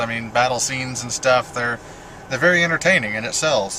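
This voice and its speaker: A man talks at a very fast pace with a medium pitch. There is noticeable background noise. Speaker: video blogger. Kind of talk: casual monologue. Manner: halting.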